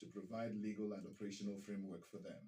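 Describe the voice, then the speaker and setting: A man's somewhat breathy voice, dark and mellow in tone. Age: 60s. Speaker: radio broadcaster, news anchor. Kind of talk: radio news bulletin.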